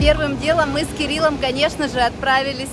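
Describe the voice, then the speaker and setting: Over music in the background, a woman with a high voice speaks at a moderate pace in a monotone, flat intonation. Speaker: travel vlogger. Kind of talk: travel vlog narration.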